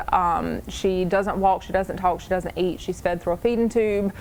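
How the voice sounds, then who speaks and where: Noticeable background noise is present. Over it, a woman talks at a medium pitch. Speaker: crochet maker, stay-at-home mother. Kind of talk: interview answer.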